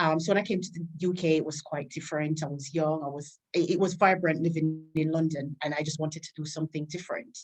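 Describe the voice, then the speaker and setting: A woman with a Caribbean accent, very deep and low in pitch, flat and monotone, at a very fast pace with hardly any pauses. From Jamaica. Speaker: army staff sergeant and PA. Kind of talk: interview.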